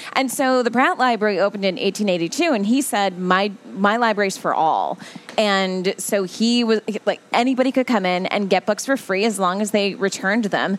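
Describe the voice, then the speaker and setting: A woman with an American accent speaks at a moderate pace and medium pitch. Her pitch varies in an ordinary way, and there is noticeable background noise. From New Jersey. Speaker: library spokesperson, former TV journalist. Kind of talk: casual radio interview. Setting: radio studio.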